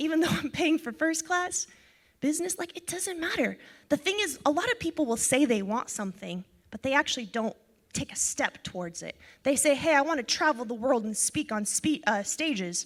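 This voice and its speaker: A woman talks at a fairly quick pace in a high pitch. Her tone is animated, with very wide pitch swings. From Ukraine. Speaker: financial educator, speaker. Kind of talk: seminar talk. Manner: fast.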